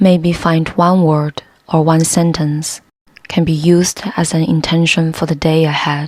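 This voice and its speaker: A woman with a non-native accent, calm in tone, flat and monotone in intonation. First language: not English. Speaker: yoga instructor. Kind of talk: guided yoga class. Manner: calm, slow.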